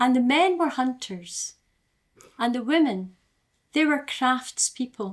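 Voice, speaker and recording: With an Aberdeen accent, a woman speaks at a high pitch with lively intonation, very slowly and with long, frequent pauses. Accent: Aberdeen Scottish. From Scotland, Aberdeen. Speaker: storyteller. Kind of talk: live storytelling. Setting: live online storytelling event.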